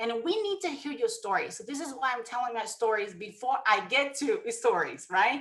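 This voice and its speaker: A woman talks with a Brazilian Portuguese accent at a high pitch. Her pitch swings very widely. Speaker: network marketing distributor. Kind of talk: motivational presentation. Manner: emotional.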